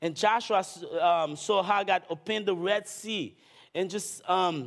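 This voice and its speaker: In a very clean recording with a silent background, a man talks at a fairly slow pace with ordinary pitch variation. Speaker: visiting pastor. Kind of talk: sermon. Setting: church with audience.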